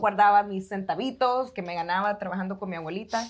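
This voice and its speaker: A woman with a Salvadoran accent talks at a medium pitch with fairly even intonation. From El Salvador. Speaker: architect turned business owner, podcast co-host; podcast co-host. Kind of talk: casual chat. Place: studio. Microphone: lapel.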